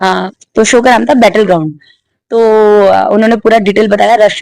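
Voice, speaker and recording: A woman's voice with vocal fry. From western Uttar Pradesh, India (Bulandshahr). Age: 20s. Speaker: MMA fighter. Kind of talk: interview.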